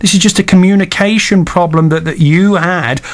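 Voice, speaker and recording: Noticeable background noise fills this clip. A man is the one talking. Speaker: radio host. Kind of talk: radio interview. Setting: radio studio. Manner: occasional stumbles.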